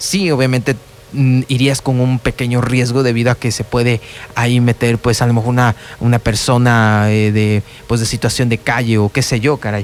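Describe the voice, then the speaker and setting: Against noticeable background noise, a man talks with very even loudness. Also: medium pitch for a man, fairly even intonation, moderate pace. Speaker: radio host. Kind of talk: radio talk show narration. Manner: hesitant, conversational.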